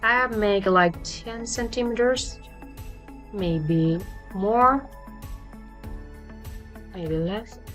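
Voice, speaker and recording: With a non-native accent and music in the background, a woman speaks at a very slow pace with ordinary pitch variation and long, frequent pauses. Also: medium pitch for a woman. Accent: non-native English speaker. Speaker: 3D fashion design tutor. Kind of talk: software tutorial narration. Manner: hesitant, many fillers.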